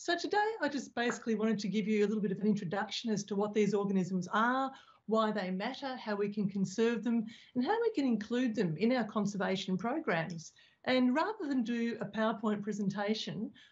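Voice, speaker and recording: Somewhat breathy, the voice moves at a fairly quick pace with ordinary pitch variation over a quiet background. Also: woman. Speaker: speaker. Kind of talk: lecture. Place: home room. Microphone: video call.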